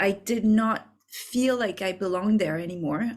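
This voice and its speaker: A woman with a French accent speaks at a medium pitch, her pitch varying in an ordinary way. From France. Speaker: business coach. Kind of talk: masterclass. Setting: video recording. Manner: halting.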